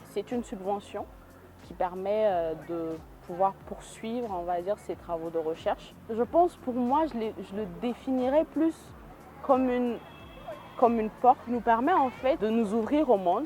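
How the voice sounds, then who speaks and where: A woman speaks with fairly high pitch and lively intonation. Her loudness rises and falls in big swings. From Niger, Niamey. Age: 20s. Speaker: hydrogeologist and researcher. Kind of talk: interview testimony. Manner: frequent hesitations.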